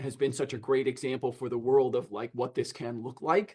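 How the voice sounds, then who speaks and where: The speech moves at a fairly quick pace. The voice is somewhat breathy, with ordinary pitch variation. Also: man. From United States. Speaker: podcast host. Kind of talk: interview. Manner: stammering starts.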